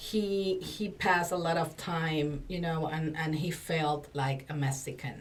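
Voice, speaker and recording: In a Spanish accent, a woman with a very deep, low pitch speaks at a fairly slow pace with fairly even intonation amid audible room echo. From Dominican Republic. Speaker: communication coach and former TV presenter. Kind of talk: podcast interview. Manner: halting, frequent fillers.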